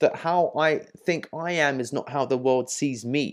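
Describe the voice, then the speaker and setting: A man with an English accent against a quiet background. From England. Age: 30s. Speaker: dating coach. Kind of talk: tutorial. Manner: casual, filler-heavy.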